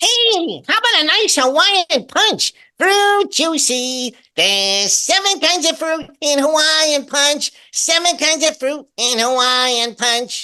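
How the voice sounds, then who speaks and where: A man puts on a squeaky character voice at an extremely high pitch. He speaks at a fairly slow pace. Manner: cheerful, peppy, commercial pitch.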